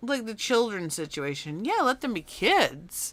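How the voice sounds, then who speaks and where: A woman with fairly high pitch, vocal fry and very wide pitch swings speaks at a fairly slow pace. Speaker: artist streamer. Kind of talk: casual live-stream chat while drawing. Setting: home live stream. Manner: conversational, rambling pace with fillers.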